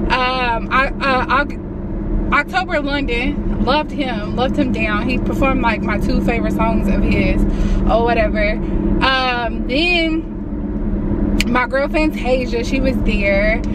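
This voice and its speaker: Despite loud background noise, a woman's voice comes through dry with no echo, at a fairly slow pace with ordinary pitch variation. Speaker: vlogger. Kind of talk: casual vlog chat. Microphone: phone near.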